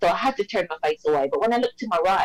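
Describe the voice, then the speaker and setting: A woman with a British accent, very fast in pace, with very wide pitch swings. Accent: British-sounding. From Jamaica. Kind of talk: interview answer.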